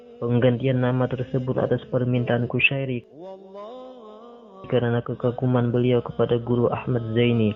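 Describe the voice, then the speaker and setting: Over music in the background, a man talks at a moderate pace in a medium pitch with monotone, flat intonation. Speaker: radio announcer. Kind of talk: documentary narration.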